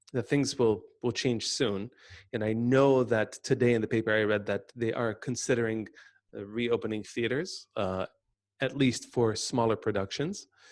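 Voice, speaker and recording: In an American accent, a man with an ordinary speaking voice talks at a medium pitch and moderate pace, his intonation fairly even. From United States. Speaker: webinar host. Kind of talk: webinar conversation. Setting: video call.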